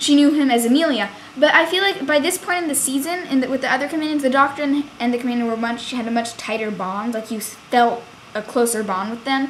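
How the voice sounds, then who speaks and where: Against noticeable background noise, a woman talks at a fairly quick pace with a high pitch and ordinary pitch variation. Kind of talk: casual review talk to camera. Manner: fast.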